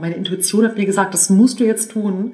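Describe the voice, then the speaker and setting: The woman speaks fairly quickly. Her voice lands at a medium pitch. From northern Germany, suburb of Hannover. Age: 40s. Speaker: entrepreneur and business angel. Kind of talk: interview. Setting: in person.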